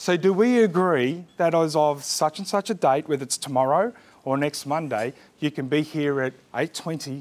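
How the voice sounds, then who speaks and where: A man speaks with an Australian accent. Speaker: business coach. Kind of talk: workshop presentation. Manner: loud.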